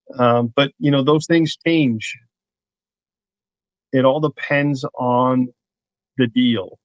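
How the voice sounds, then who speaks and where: A man's fairly high voice with a New York accent, very slow with long, frequent pauses and fairly even intonation, in a dry, close sound with no echo. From New York, Queens. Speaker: real estate broker. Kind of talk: casual podcast interview.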